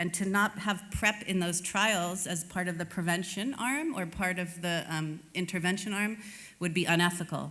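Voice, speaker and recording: Bright and sharp in tone, a woman with an American accent talks at a moderate pace and medium pitch with fairly even intonation, and audible room echo surrounds her voice. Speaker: HIV prevention advocate, conference speaker. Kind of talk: conference presentation. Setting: stage with audience at summit.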